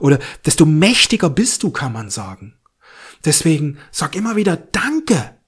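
In a very clean recording with a silent background, a man with an unremarkable speaking voice shows big swings in loudness. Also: fairly high pitch for a man. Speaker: astrology and spirituality video host. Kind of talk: guided meditation with affirmations, spoken directly to the listener; spiritual astrology forecast, direct address to viewer. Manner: calm, soothing, slow and gentle, repeating thankful affirmations.

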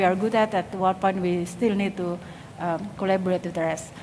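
With an Indonesian accent, a woman speaks in a monotone, flat intonation against light background noise. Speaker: industrial design lecturer. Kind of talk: conference talk. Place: stage. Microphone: headset.

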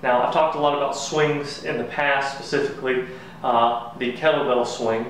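A man speaks at a fairly quick pace with fairly even intonation, with audible room echo and light background noise. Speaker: fitness coach. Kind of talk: tutorial. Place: garage. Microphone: camera far.

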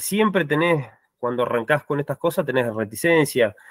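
A man speaks with lively intonation. The sound is dry with no echo, against a quiet background. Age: 30s. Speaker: farm agriculture manager; panelist. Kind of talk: online meeting testimony. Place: home room.

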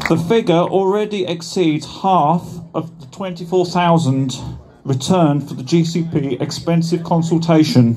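Music plays in the background. The speech comes at a very slow pace with ordinary pitch variation. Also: man, high pitch for a man. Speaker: campaigner. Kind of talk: rally speech read from a prepared script. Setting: outdoor rally with crowd. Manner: formal, earnest, slightly halting while reading. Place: street. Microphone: camera far.

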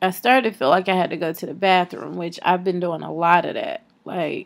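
This woman has an unremarkable speaking voice with fairly low pitch. Her intonation stays fairly even. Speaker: vlogger. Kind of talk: casual vlog chat. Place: home room. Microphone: phone near.

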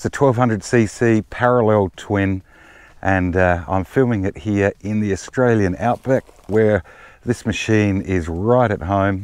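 The recording is dry, with no echo. A man with a fairly low pitch speaks in an unremarkable speaking voice with ordinary pitch variation. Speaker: motorbike owner reviewer. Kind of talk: casual review walkaround. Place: open country.

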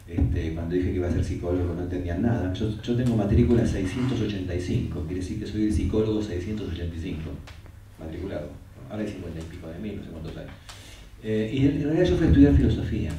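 A man's very deep, low voice at a fairly quick pace, with ordinary pitch variation, big swings in loudness, audible room echo and light background noise. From Argentina. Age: 70s. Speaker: psychotherapist and author. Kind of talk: interview in front of an audience. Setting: stage with audience. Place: classroom.

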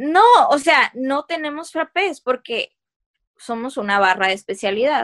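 Against a quiet background, a woman with a Mexican accent speaks at a high pitch. Her pace is fairly slow, and her pitch swings very widely. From Mexico. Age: 20s. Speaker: podcast host and coffee shop owner; podcast host. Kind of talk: casual chat. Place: home room. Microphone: video call.

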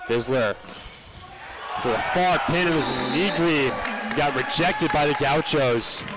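Over noticeable background noise, a man speaks fairly slowly in a fairly high pitch, with long, frequent pauses. His pitch varies in an ordinary way while his loudness stays very even. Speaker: play-by-play commentator. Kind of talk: live sports commentary.

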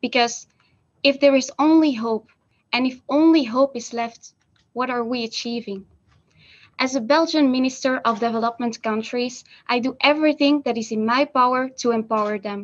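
Pitched high, a woman talks at a moderate pace. Her intonation stays fairly even. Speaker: stand-in minister for a day. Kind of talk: conference speech. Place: office. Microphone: video call.

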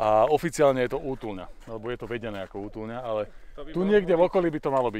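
A man at a very fast pace with lively intonation, in a dry sound with no echo over light background noise. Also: big swings in loudness. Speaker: hiker vlogger. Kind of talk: casual vlog chat. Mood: cheerful, excited. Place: open country. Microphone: phone near.

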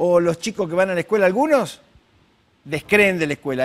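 A man's very fast speech with lively intonation. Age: 70s. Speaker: psychologist; guest. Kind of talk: interview. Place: studio. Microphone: lapel.

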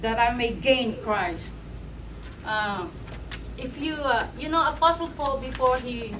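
There is noticeable background noise as a woman talks at a very slow pace in a high pitch with ordinary pitch variation. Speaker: preacher. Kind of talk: sermon. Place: church. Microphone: camera far.

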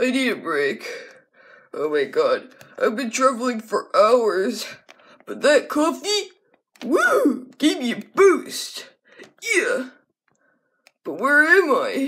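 A high, cartoonish character voice at a very slow pace, broken by long, frequent pauses. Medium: puppet.

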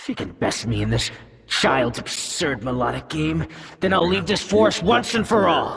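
Putting on a character voice, a man speaks at a moderate pace with very wide pitch swings. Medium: game stream. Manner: sneering, taunting, menacing.

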